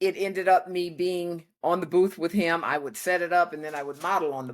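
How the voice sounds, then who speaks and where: A woman speaks in a plain, everyday voice, fairly low in pitch, at a moderate pace with fairly even intonation. The recording is very clean, with a silent background. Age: 60s. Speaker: tradeswoman and workwear founder. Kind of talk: interview. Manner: conversational.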